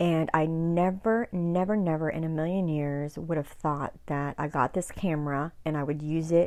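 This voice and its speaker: A soft-spoken woman talks at a moderate pace in a fairly low voice with a dark, mellow tone. The recording is very clean with a silent background. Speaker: YouTuber. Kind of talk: casual chat. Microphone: new mic, volume boosted in editing.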